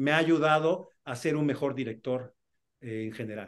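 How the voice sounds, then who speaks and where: A man with a fairly high voice speaks at a moderate pace, his pitch varying in an ordinary way. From Mexico City. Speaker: film and TV director. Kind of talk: interview. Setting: video call. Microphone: video call.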